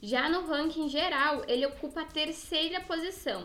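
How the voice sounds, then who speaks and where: With music in the background, a woman projects a raised voice at an extremely high pitch, swinging very widely in pitch. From southern Brazil, Rio Grande do Sul. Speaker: podcast co-host. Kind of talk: casual chat; news reading.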